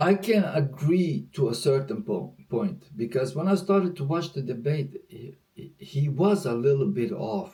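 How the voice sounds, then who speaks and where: A man speaks at a fairly slow pace with a non-native accent. His pitch is fairly high. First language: not English. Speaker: reaction video host. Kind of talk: casual reaction commentary. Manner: animated.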